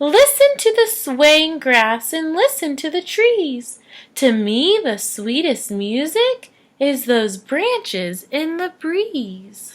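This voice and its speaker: On a very clean recording with a silent background, a woman puts on a squeaky character voice, high in pitch with very wide pitch swings, speaking at a very slow pace. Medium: read story. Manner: gentle.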